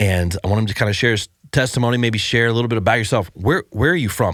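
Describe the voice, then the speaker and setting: A man with an American accent. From Ohio, US. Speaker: podcast host. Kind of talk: casual chat.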